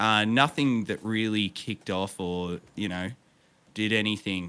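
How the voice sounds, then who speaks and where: In an Australian accent, a man with fairly low pitch speaks at a fairly slow pace, his intonation fairly even. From Victoria, Australia. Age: 30s. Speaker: streamer and musician. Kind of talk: casual interview chat. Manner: halting, many fillers.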